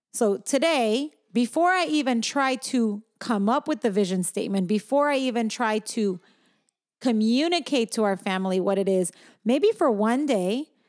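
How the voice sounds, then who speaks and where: A woman with a plain, everyday voice, fairly high pitch, lively intonation and a moderate pace. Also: very clean recording, silent background. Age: 40s. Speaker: podcast co-host and parent. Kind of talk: casual chat.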